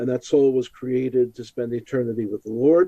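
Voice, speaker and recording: A man with an American accent at a medium pitch, fairly even intonation and a moderate pace. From Brooklyn, New York. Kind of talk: interview.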